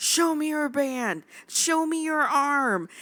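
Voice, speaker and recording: A put-on character voice shouts at a high pitch and a very slow pace. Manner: yelling, commanding.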